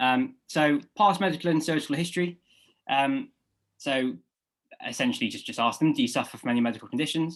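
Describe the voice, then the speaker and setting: In a British accent, a man with a fairly high pitch talks at a fairly quick pace with lively intonation and long, frequent pauses. The recording is very clean, with a silent background. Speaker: medical student tutor. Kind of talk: lecture. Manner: fast; halting, many fillers.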